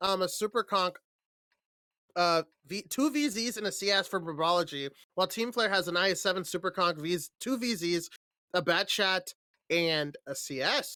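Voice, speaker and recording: A man uses a raised, projected voice at a high pitch with ordinary pitch variation and long, frequent pauses. The sound is dry and close, with no echo. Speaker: esports caster. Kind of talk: live commentary. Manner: fast.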